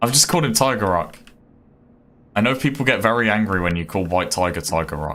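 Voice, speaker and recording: A man speaks at a fairly quick pace in a bright, sharp tone. He takes long, frequent pauses and makes very wide pitch swings. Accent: Birmingham. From Birmingham, England. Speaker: gaming streamer. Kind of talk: live gameplay stream chat. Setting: live stream. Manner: casual, hesitant with fillers.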